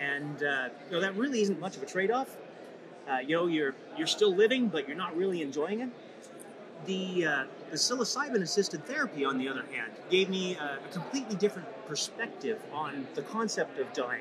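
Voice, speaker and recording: A man with a Canadian accent speaks fairly quickly in a high voice that makes very wide pitch swings. Room echo is audible, and so is background noise. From Saskatchewan, Canada. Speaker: patient advocate. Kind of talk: interview. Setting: conference event. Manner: halting, many fillers.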